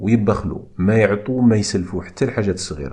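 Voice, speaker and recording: In an Algerian accent, a man speaks at a moderate pace with a very deep, low pitch and ordinary pitch variation. His voice is somewhat breathy. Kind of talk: religious scripture explanation.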